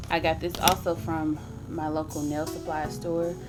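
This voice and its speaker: Over music in the background and audible room echo, a woman with a very deep, low pitch talks at a moderate pace. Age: 20s. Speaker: beauty vlogger. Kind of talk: tutorial. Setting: home. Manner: casual, with filler words.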